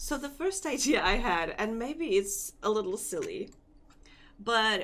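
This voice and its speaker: With a non-native accent, a woman speaks at a fairly slow pace and fairly high pitch, her voice making very wide pitch swings. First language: not English. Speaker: vtuber and Live2D rigger streamer. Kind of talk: casual live stream chat. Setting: live stream. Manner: hesitant, searching for words.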